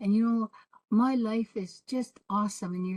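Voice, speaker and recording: A woman's somewhat breathy voice has a dark, mellow tone and fairly even intonation. The sound is dry and close with no echo. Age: 70s. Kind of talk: panel discussion.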